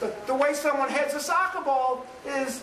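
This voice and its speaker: Over noticeable background noise and audible room echo, a man speaks at an extremely high pitch. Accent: New York. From New York City. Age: 50s. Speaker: professor. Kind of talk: lecture.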